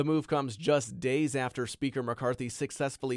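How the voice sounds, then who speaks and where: A man with an ordinary speaking voice, moderate pace and ordinary pitch variation, on a very clean recording with a silent background. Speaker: news reporter. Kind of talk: news reading. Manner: formal, measured, serious newsreader delivery.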